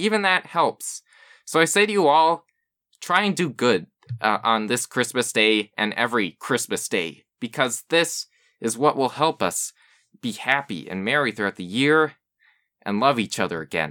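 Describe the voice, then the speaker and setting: In a very clean recording with a silent background and a dry, close sound with no echo, a man with a medium pitch, a bright, sharp tone and vocal fry speaks at a moderate pace with very wide pitch swings. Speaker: podcast host. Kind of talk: political rant. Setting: solo recording. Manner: angry, impassioned, emphatic.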